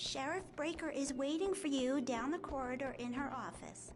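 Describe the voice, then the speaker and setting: Putting on a character voice, a woman talks in a high pitch over clear background noise. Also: moderate pace. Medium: video game.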